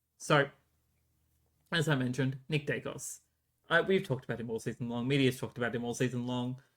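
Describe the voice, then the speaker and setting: A man with an Australian accent, medium in pitch with ordinary pitch variation, a very fast pace and long, frequent pauses. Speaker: sports podcast host. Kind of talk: solo podcast commentary. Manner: hesitant, many fillers.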